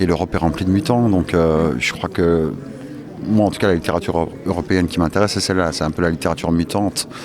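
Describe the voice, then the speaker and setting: Over noticeable background noise, a man talks at a very fast pace in a very deep, low voice with ordinary pitch variation. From Turkish family background. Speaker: novelist. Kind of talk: interview. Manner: hesitant.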